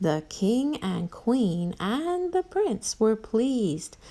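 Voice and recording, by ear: The recording is reading aloud in a natural voice.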